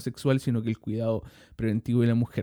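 A man's medium-pitched voice with a Chilean accent and a dark, mellow tone. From Chile, Santiago (Maipú). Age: 30s. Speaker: podcast host. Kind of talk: monologue podcast. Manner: hesitant, many fillers and repetitions.

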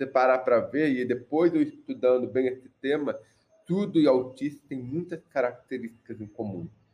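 At a moderate pace, a man speaks in a medium pitch with ordinary variation and a dark, mellow tone. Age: 30s. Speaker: mechanical engineer and accessibility entrepreneur. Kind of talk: casual chat.

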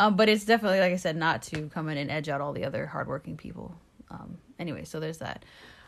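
A woman at a very fast pace with a very deep, low pitch, vocal fry, ordinary pitch variation and big swings in loudness. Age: 40s. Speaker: real estate agent podcast co-host. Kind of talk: casual chat.

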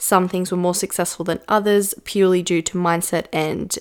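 Flat, monotone female voice at a medium pitch and moderate pace, in a very clean recording with a silent background. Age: 20s. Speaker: business coach podcast host. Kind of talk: solo podcast monologue. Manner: casual, conversational.

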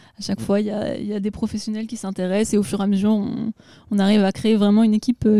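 Her voice has a dark, mellow tone and a fairly high pitch. A woman speaking in a monotone, flat intonation. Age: young. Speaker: singer in a music duo. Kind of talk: radio interview. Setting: backstage at a music festival.

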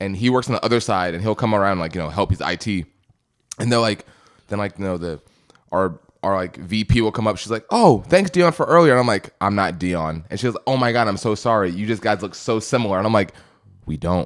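His delivery is very fast. The man's intonation rises and falls in a lively way. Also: fairly low pitch for a man. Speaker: paralegal. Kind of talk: casual chat.

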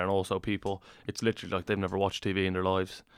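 A man with a Dublin accent speaks at a very fast pace. His pitch is fairly low. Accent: Irish (Dublin). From Ireland. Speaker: professional rugby player. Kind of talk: casual chat.

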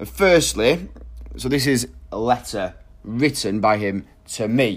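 The speaker is a man with a medium pitch. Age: 30s. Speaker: podcast host. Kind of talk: solo podcast monologue.

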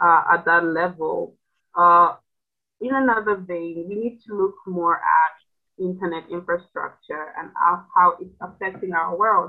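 A woman's fairly low-pitched voice with fairly even intonation. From Zambia, small town. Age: young. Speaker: youth leader and nonprofit founder. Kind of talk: interview. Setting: remote call. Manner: halting, many fillers.

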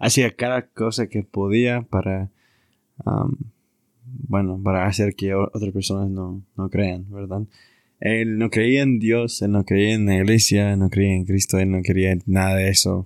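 A man with an English accent speaks fairly slowly at a fairly low pitch with fairly even intonation, the sound dry and close with no echo. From US Southwest (Arizona). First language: English (speaking Spanish). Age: 20s. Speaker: returned missionary, university student. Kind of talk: religious casual conversation.

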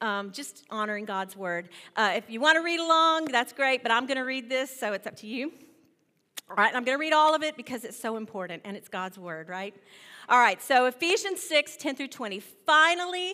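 A woman speaks in a raised, projected voice at a moderate pace, with a high pitch and a bright, sharp tone. Her pitch swings very widely and her loudness rises and falls a great deal. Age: 50s. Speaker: guest preacher. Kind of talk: sermon.

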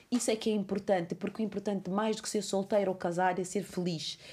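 A woman talks at a very fast pace in an animated tone, captured in a very clean recording with a silent background. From Cape Verde. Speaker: podcast host. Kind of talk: casual chat.

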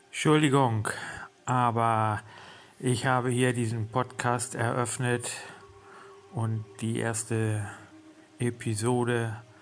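Over noticeable background noise, a man talks at a very slow pace with medium pitch and fairly even intonation. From Germany. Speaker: podcaster and horse trainer. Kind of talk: personal monologue. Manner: hesitant, many fillers.

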